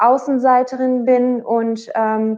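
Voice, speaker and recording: A woman's high voice with a dark, mellow tone and a Dutch accent, very slow in pace, with fairly even intonation. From Netherlands, Bergen op Zoom. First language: Dutch (speaking German). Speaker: singer. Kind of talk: interview. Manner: hesitant, many fillers.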